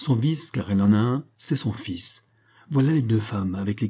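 The text is read out in a natural-sounding voice.

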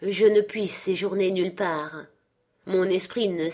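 A natural reading voice with fairly even intonation is heard over a quiet background.

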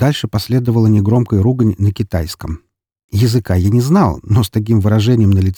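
The background stays quiet. What you hear is a natural reading voice.

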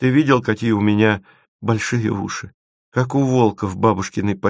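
Over a quiet background, someone reads in a natural reading voice.

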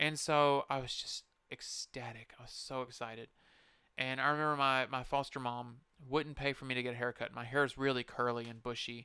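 A man's medium-pitched voice at a fairly quick pace, flat and monotone in intonation. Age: 30s. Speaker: podcast host. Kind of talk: casual monologue. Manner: halting.

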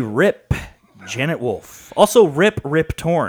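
The speaker is a man with an American accent. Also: dry, close sound with no echo. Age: 20s. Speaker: wrestling podcast co-host. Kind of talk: casual chat.

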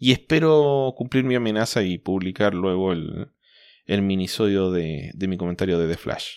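Very clean, with a silent background, the recording has a man with a Chilean accent speaking at a very deep, low pitch with lively intonation. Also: moderate pace. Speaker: comics podcast host. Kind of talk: casual chat.

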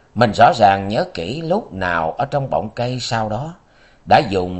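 Lively intonation in an unforced reading voice

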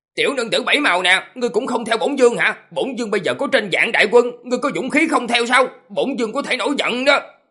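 Doing a put-on character voice, a man talks at a fast pace with few pauses, an extremely high pitch, lively intonation and a bright, sharp tone with a slightly husky edge.

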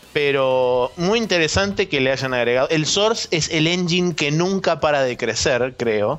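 A man with a Rioplatense accent and a fairly high pitch speaks at a fairly slow pace with hardly any pauses, lively intonation and very even loudness. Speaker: gaming podcast co-host. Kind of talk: casual chat.

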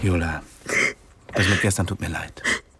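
A man's put-on character voice, low-pitched with a husky, rough edge and fairly even intonation. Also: moderate pace, fairly bright tone.

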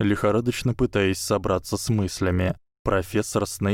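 Someone does plain reading aloud. Behind it, things stay quiet.

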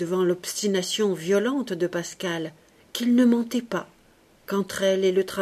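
Ordinary shifts in pitch throughout an unforced reading voice

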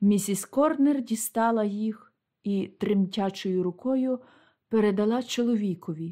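A natural reading voice shows ordinary pitch variation, and the background stays quiet.

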